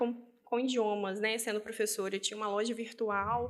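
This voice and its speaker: A woman talks at a moderate pace in a normal speaking voice. Her pitch sits fairly high. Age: 20s. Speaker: business owner and language teacher. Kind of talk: interview.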